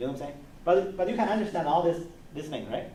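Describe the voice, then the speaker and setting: A man's fairly high voice with lively intonation, plus audible room echo. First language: not English. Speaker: university lecturer. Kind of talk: lecture. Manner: halting.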